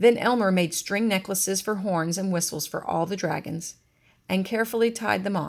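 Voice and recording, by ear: In a natural voice, this reading aloud carries ordinary pitch variation.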